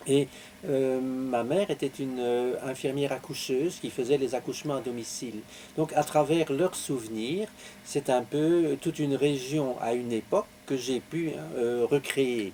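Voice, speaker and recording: A man speaks with a Belgian accent. His pitch variation is ordinary. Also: medium pitch for a man, fairly slow pace. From Belgium, Belgian Lorraine. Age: 70s. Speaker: author. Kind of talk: interview. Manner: halting, many hesitations.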